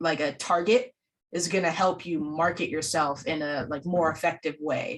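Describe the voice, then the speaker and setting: The woman's voice is pitched fairly low. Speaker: film school instructor and event host. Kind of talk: online panel discussion. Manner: loud; many fillers and restarts.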